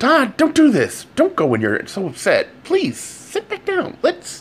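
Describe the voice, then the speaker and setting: A man puts on a character voice pitched extremely high. He speaks at a fairly slow pace. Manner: hushed, pleading.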